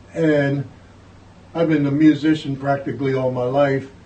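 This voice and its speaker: A man with an American accent speaks at a fairly high pitch, somewhat breathy. His tone is dark and mellow, his intonation monotone and flat. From northern US, Philadelphia and New York. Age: 80s+. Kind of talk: oral history interview.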